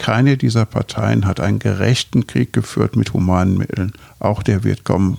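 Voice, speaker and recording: In a dry, close recording with no echo, a man with a fairly low pitch and a dark, mellow tone speaks at a fairly slow pace with vocal fry. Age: 70s. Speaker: physician and Buddhist teacher. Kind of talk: interview conversation.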